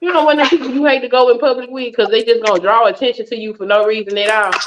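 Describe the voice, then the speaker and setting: A woman talks at a very fast pace with an animated tone. Her pitch is high. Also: ordinary pitch variation. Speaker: fitness vlogger. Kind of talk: casual chat.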